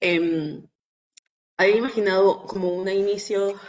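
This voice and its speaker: A woman talks with a monotone, flat intonation. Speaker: activist. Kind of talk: webinar talk. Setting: video call. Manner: quiet.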